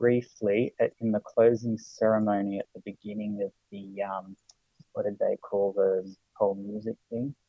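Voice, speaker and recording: Speaking with an Australian accent, a man has a fairly low pitch. His pace is moderate and his pitch varies in an ordinary way. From Sydney, Australia. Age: 30s. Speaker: podcast guest, Olympics enthusiast. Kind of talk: casual chat. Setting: remote call.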